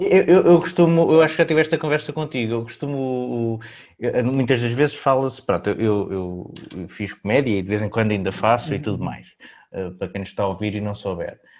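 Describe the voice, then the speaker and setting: An ordinary speaking voice with lively intonation moves along at a fairly quick pace. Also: man, medium pitch for a man. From Portugal. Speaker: podcast host. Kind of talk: casual chat.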